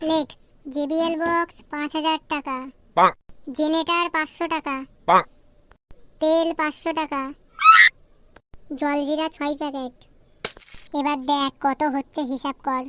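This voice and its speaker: A woman's cartoonish character voice, squeaky and high-pitched, monotone and flat, at a fairly slow pace. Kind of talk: crude comic dialect cartoon. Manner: coarse, swearing, bossy.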